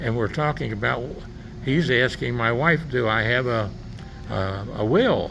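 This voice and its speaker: A man at a fairly slow pace, with long, frequent pauses, audible room echo and noticeable background noise. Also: medium pitch for a man, ordinary pitch variation. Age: 80s+. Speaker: interviewer. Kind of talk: casual chat. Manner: halting.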